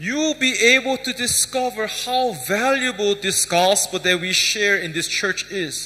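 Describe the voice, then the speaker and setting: A man with a high pitch and lively intonation talks at a fairly slow pace with hardly any pauses, over noticeable background noise. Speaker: pastor. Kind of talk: sermon. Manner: soft-spoken.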